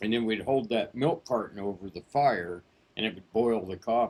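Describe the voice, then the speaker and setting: A man speaks at a moderate pace and a medium pitch. He has a plain, everyday voice. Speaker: voice actor. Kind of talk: memoir storytelling, casual. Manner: casual, unscripted.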